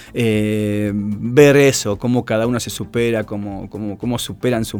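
Over music in the background, a man talks at a fairly slow pace with a Rioplatense accent. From Argentina, Buenos Aires area (Tigre). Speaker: running coach. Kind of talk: interview.

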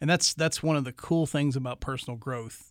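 A man speaks at a fairly quick pace with a fairly high pitch. The recording is very clean, with a silent background. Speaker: radio co-host and leadership coach. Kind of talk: casual co-hosted radio discussion. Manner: animated, enthusiastic.

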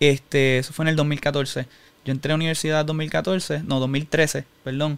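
In a Puerto Rican accent, a man with a fairly high voice speaks at a moderate pace in a flat monotone. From Puerto Rico (Humacao). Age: 20s. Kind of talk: personal testimony in interview.

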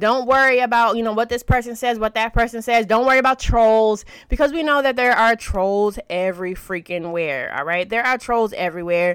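A woman speaks in an animated, energetic tone at a fairly quick pace and fairly high pitch, with ordinary pitch variation. The recording is very clean, with a silent background. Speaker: social media marketing podcast host and course creator. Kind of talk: podcast tutorial with sales pitch. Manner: fast talker; animated, casual, energetic.

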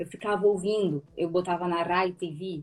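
This woman speaks in a strong Rio de Janeiro accent. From Rio de Janeiro, Brazil. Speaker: actress and student. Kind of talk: casual interview chat.

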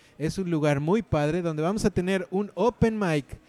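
A man talks in a high pitch. Music plays in the background. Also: dry, close sound with no echo. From Mexico City. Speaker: stand-up comedian and podcast host. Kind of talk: casual comedic chat. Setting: bar.

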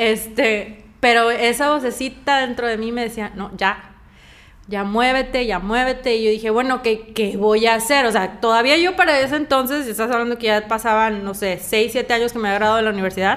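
Speaking at a fairly quick pace with a fairly high pitch, a woman in a Mexican accent is heard over noticeable background noise. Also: ordinary pitch variation. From Mexico. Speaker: coffee brand founder and actress. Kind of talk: interview.

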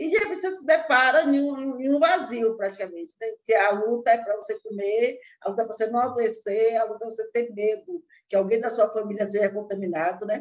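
A woman with a normal speaking voice talks fairly quickly at a fairly high pitch, her intonation lively. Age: 60s. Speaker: chef and cookbook author. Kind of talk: interview.

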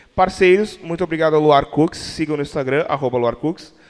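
An ordinary speaking voice with ordinary pitch variation and a moderate pace. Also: man. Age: 20s. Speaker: podcast host. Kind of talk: casual chat.

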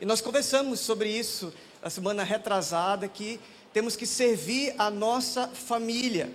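With audible room echo and noticeable background noise, a man with a high pitch talks at a fairly slow pace with fairly even intonation. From Manaus, northern Brazil. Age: 30s. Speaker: pastor. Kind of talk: sermon. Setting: church.

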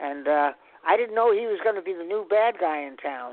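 A man speaks at a moderate pace. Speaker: voice actor. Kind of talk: interview.

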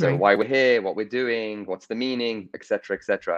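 Fairly even intonation marks this speech, delivered at a fairly quick pace with an English accent. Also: man. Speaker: corporate innovator and entrepreneur. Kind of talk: interview. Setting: live video stream.

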